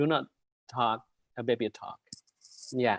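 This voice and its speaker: A man talks at a fairly slow pace with an Indonesian accent. The sound is dry and close, with no echo. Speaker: university lecturer, webinar presenter. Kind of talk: lecture. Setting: video call. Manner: hesitant, many fillers.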